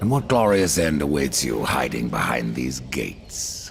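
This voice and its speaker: A man's put-on character voice, very deep and low, at a moderate pace with lively intonation, over clear background noise. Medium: video game. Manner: terse, cold.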